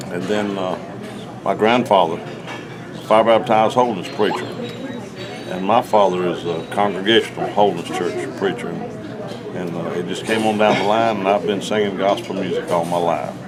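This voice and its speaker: A man's fairly low voice at a moderate pace with fairly even intonation, audible room echo and crowd noise in the background. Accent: Southern US. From Georgia, US South. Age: 60s. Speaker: gospel singer. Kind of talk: casual chat. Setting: round table discussion.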